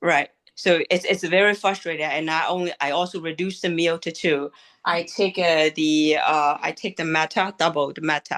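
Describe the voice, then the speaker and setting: A woman's fairly low-pitched voice at a moderate pace, dry and close with no echo, over a quiet background. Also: fairly even intonation. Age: 60s. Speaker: participant asking a question. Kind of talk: Q&A question. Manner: halting.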